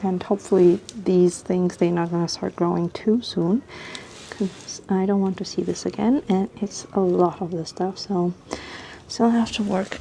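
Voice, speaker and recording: Noticeable background noise sits behind a woman's voice. She talks at medium pitch with fairly even intonation. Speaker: lifestyle vlogger. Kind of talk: casual vlog talk to camera. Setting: outdoors on balcony at night. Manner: quiet, talking softly.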